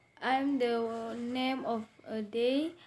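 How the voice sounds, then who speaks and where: A woman with a high pitch. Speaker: English student. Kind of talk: reading aloud in lesson. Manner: halting, stumbling over words.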